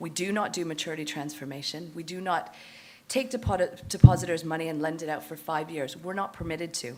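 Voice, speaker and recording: With a Canadian accent and a fairly low pitch, a woman talks at a fairly quick pace, her loudness swinging widely amid audible room echo. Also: ordinary pitch variation. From Canada. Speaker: fund manager. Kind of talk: conference presentation.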